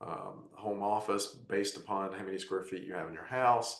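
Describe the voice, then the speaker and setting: A man with a fairly low pitch and a plain, everyday voice talks at a moderate pace with fairly even intonation. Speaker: tax advisor panelist. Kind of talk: webinar presentation.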